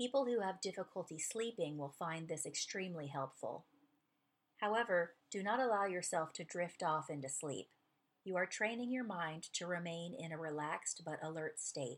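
A woman speaks in a normal speaking voice, fairly low-pitched for a woman, with lively intonation. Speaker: podcast host narrating a book. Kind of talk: guided meditation read from a book; scripted narration. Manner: slow, calm, soothing, read aloud in a gentle, measured pace with pauses.

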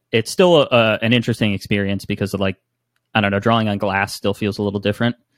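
A man's very fast speech with an American accent, fairly low pitch, fairly even intonation and a dry, close, echo-free sound. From northern New Jersey. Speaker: photographer and musician. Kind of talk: casual chat. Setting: video call.

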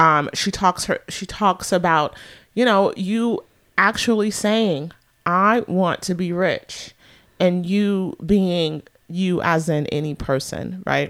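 A woman at a medium pitch with an American accent, very slow pace and ordinary pitch variation, on a very clean recording with a silent background. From US West Coast (San Francisco Bay Area). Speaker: radio show co-host. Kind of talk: casual chat.

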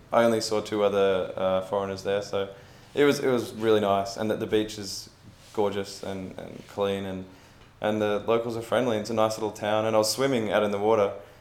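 A man with an Australian accent at a very fast pace, with audible room echo. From Australia, Melbourne. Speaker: travel blogger. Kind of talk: casual chat. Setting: in person, traveling in Vietnam.

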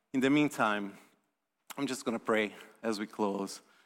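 A man speaks with a Portuguese accent. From Brazil. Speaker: visiting preacher. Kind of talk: sermon. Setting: church.

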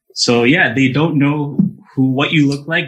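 This is an ordinary speaking voice. It keeps a moderate pace with fairly even intonation. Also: man. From Montreal, Canada, Jamaican family. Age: young. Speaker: orchestral double bass player. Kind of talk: radio interview. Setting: remote call into radio show.

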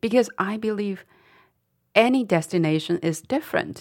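In a Chinese accent, a woman speaks at a fairly slow pace with ordinary pitch variation on a very clean recording with a silent background. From Dali, Yunnan, China. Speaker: company founder and author. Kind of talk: interview conversation. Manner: halting, with fillers.

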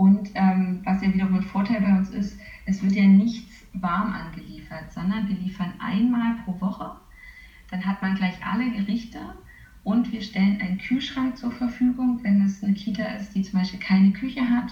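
At a moderate pace and medium pitch, a woman with a dark, mellow tone sounds somewhat breathy, her intonation fairly even. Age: 30s. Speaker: nutritionist working for a vegan catering company. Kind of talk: interview. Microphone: poor interview audio quality.

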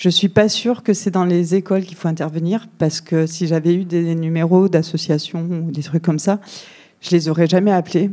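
A woman talks at a fairly quick pace in a fairly low pitch, her dark, mellow tone shaky yet fairly even in intonation. The recording is very clean, with a silent background. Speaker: audience member. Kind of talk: testimony. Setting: public event with audience. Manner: trembling voice.

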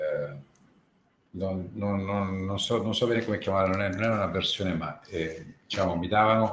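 Audible room echo surrounds a man speaking at a fairly slow pace, with a fairly low pitch and fairly even intonation. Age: 50s. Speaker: former fund manager and derivatives trader. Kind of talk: casual chat. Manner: halting.

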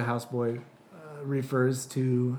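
Noticeable background noise sits under a man speaking at a medium pitch with monotone, flat intonation. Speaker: podcast host. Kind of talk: casual chat. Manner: joking, playful.

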